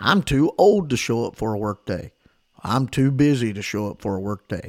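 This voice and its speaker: With a Southern US accent, a man speaks at a moderate pace with lively intonation. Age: 40s. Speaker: pastor. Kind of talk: sermon.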